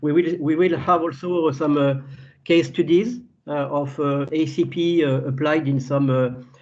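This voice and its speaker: In a room with audible echo, a man with a fairly high pitch speaks at a fairly slow pace with ordinary pitch variation. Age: 60s. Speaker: agricultural scientist. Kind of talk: webinar lecture. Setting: video call webinar. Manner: halting, many fillers and repetitions.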